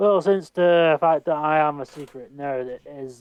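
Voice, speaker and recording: With a Scottish accent, this voice moves through pitch in a typical way. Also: man. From Scotland. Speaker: amateur voice actor. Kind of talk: casual interview. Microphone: mic cutting out.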